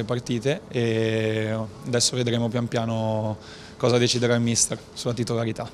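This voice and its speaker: Over light background noise, a man speaks in a monotone, flat intonation. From northern Italy, Novara (Piedmont); Piedmont, Italy. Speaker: professional football goalkeeper. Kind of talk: post-match interview. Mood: calm, measured. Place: hall. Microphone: handheld.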